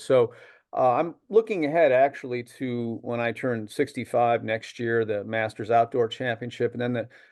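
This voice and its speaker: Speaking at a medium pitch and a moderate pace, a man talks with an American accent. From upstate New York. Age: 60s. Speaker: masters sprinter and music professor. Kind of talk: interview. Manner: halting, many fillers.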